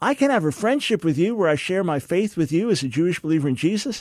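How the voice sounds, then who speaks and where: A man with a high voice speaks very fast in a passionate tone, his intonation lively. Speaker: radio host and theologian. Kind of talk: call-in radio talk show. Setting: studio. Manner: passionate, forceful.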